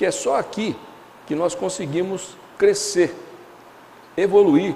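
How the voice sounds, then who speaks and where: Lively intonation with audible room echo. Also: man. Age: 60s. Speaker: spiritist lecturer. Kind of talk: lecture. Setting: lecture hall with audience. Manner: halting, many fillers and restarts.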